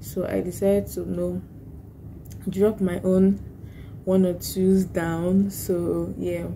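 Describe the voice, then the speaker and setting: A soft-spoken woman talks amid audible room echo. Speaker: vlogger and lawyer. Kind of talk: casual vlog talk. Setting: office at work. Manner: soft-spoken, low volume.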